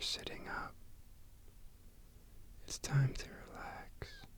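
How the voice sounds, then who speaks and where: A man whispers in a soothing tone at a very slow pace, with long, frequent pauses. Noticeable background noise is present. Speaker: ASMR creator. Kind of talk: ASMR sleep aid relaxation talk. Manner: whispered, soothing, slow.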